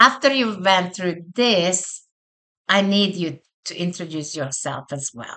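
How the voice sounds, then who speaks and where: Loudness rises and falls sharply at a fairly slow pace. The intonation is lively and the tone bright and sharp. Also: woman, medium pitch for a woman. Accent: non-native. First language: not English. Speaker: college instructor. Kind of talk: online course walkthrough. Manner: casual conversational.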